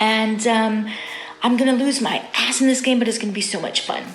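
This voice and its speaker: A woman's fairly high voice with an American accent, at a moderate pace and fairly even intonation, with audible room echo and noticeable background noise. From Illinois, Normal. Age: 40s. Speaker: game show contestant. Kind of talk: self-introduction video.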